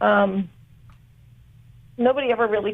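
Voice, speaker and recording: The speaker is a woman with a medium pitch. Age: 60s. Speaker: caller. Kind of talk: call-in conversation. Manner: halting.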